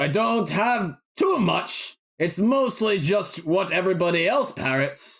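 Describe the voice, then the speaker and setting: In a put-on character voice with a theatrical tone, a man speaks at a high pitch and a fairly slow pace, his loudness very even throughout. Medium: actual play. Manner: theatrical, excitable.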